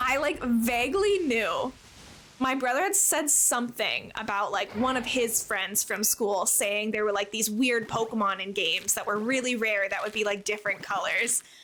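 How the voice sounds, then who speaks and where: Amid noticeable background noise, a woman with a fairly high pitch talks at a moderate pace, with very even loudness and ordinary pitch variation. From Canada. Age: 20s. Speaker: streamer. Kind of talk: casual chat. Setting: live stream.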